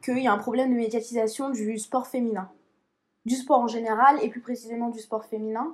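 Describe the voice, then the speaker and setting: Her intonation fairly even, a woman with an unremarkable speaking voice talks at a fairly high pitch. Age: 20s. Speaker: track athlete and student. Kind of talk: casual chat.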